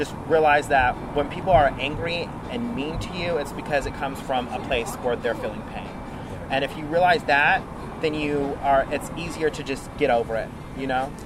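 Amid noticeable background noise, a man in an animated tone speaks at a moderate pace with a fairly high pitch and ordinary pitch variation. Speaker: radio personality. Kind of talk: interview. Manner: animated, flamboyant.

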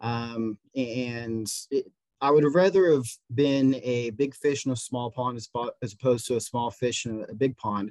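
A man at medium pitch is heard with a dry, close sound and no echo. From Indiana, US Midwest. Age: 20s. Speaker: local volunteer and city council candidate. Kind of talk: casual interview. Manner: energetic.

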